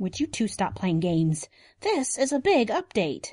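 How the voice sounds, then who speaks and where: A woman uses a put-on character voice with a fairly high pitch and an anxious tone. The background is quiet. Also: moderate pace. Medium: audio drama. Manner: anxious, urgent.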